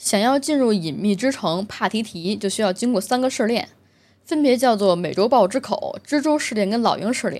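A woman with a strong Beijing accent, fairly high in pitch, lively in intonation and moderate in pace, on a very clean recording with a silent background. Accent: heavy Beijing. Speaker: gaming video host. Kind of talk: solo casual commentary monologue.

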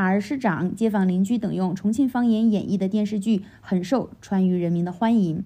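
This woman's medium-pitched voice is somewhat breathy, with a dark, mellow tone. She keeps a moderate pace with hardly any pauses. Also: ordinary pitch variation. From Chongqing, China. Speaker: stand-up comedian. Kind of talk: scripted podcast monologue.

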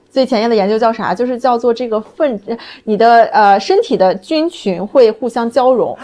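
A woman speaks at a moderate pace in a dark, mellow tone. Her pitch is fairly high, with ordinary variation. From Qingdao, China. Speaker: pet food company founder. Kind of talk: casual chat.

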